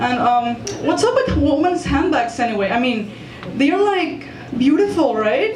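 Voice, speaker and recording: With very wide pitch swings, a woman speaks at a high pitch and a fairly slow pace with very even loudness, amid audible room echo and noticeable background noise. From Mexico. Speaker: stand-up comedian. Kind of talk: stand-up. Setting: stage with audience. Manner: halting, many fillers.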